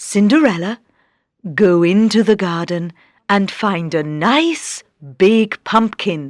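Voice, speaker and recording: In a very clean recording with a silent background, a woman uses a put-on character voice at a medium pitch, speaking at a fairly slow pace with long, frequent pauses. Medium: read story.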